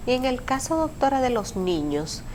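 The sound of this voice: A woman speaks at a high pitch and moderate pace. Her pitch swings in big leaps.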